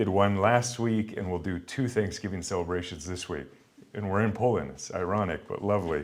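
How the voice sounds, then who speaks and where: Amid audible room echo, a man with an American accent speaks at a fairly quick pace, with a fairly low pitch and ordinary pitch variation. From Montana, US. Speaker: pastor and guest lecturer. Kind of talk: lecture.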